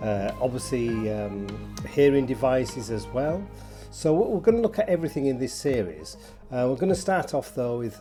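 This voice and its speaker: Music plays in the background as a speaker with a Yorkshire accent talks at a moderate pace. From Yorkshire, England. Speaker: presenter of a video series on tinnitus. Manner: casual, chatty, many filler words.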